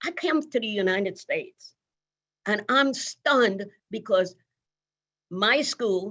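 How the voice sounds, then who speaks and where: In a Virgin Islands accent, a woman speaks with very wide pitch swings. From US Virgin Islands. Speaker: nursing leader and pioneer. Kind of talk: interview conversation. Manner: conversational, with many fillers.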